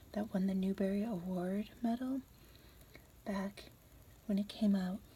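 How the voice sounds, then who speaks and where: Whispering and somewhat breathy, a woman speaks at a moderate pace. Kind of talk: casual introduction to camera. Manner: whispered.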